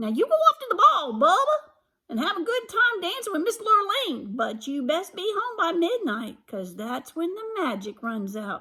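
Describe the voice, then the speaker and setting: A woman's put-on character voice, extremely high in pitch, with very wide pitch swings. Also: moderate pace. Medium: read story.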